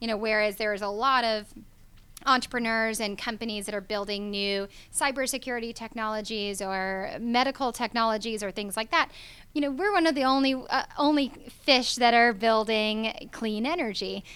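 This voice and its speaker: A woman speaks with a bright, sharp tone at a fairly high pitch and a moderate pace. Her pitch varies in an ordinary way, and the recording is very clean with a silent background. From Georgia, US (Atlanta). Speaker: clean energy startup founder. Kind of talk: interview talk show. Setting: radio studio in a hotel.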